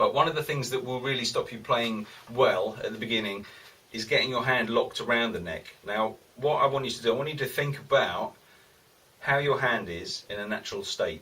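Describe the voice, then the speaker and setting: A man talks at a fairly quick pace with big jumps in loudness, set against noticeable background noise. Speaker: guitar teacher. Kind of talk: tutorial. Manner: fast; casual.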